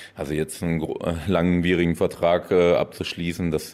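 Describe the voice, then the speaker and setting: A man talks at a fairly slow pace. His pitch is very deep and low, with a dark, mellow tone. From Düren area, western Germany. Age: 30s. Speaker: professional volleyball player. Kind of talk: interview.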